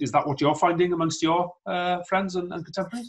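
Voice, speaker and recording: Against a quiet background, a man with a Welsh accent speaks in a somewhat breathy voice. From Wales. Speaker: politician, show host. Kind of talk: interview. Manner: hesitant with frequent fillers. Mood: calm, friendly. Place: home room. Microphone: video call.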